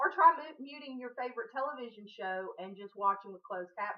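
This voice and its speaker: The speaker moves at a fairly quick pace in a Southern US accent. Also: woman. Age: 40s. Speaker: vlogger. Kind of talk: casual chat.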